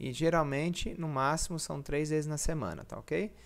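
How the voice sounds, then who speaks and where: With a rather high voice, a man talks at a medium tempo. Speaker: personal trainer. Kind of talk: tutorial. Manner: halting.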